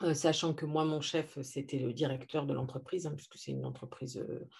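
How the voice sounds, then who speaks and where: Over a quiet background, a woman speaks with a very deep, low pitch and a dark, mellow tone. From France. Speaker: naturopath and coach. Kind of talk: interview. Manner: hesitant, many fillers.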